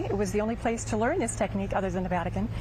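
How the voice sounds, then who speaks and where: A woman with an American accent, with audible room echo. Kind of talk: TV interview. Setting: outdoor arts festival.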